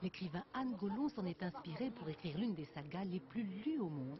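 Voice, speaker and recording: At a fairly quick pace and with lively intonation, this is a plain, everyday voice. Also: woman. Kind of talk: TV news report narration.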